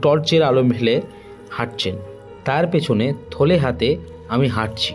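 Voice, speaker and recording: With music in the background, a man talks with ordinary pitch variation. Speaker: audio story narrator. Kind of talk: horror audio story narration.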